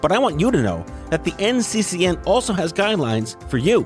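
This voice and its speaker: Pitch swings very widely as a man talks over background music. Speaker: podcast host. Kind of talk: sponsor read.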